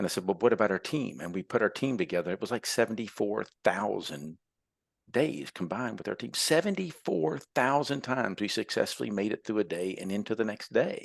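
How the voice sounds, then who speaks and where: Against a quiet background, a man speaks fairly quickly with lively intonation. His is an ordinary speaking voice, fairly low in pitch. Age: 60s. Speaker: entrepreneur and tradesman. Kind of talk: podcast interview. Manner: conversational, with many fillers.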